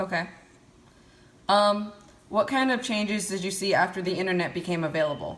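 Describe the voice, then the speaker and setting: Audible room echo surrounds this fairly quick speech, which has ordinary pitch variation and long, frequent pauses. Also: woman, medium pitch for a woman. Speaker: college student interviewer. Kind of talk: interview questions.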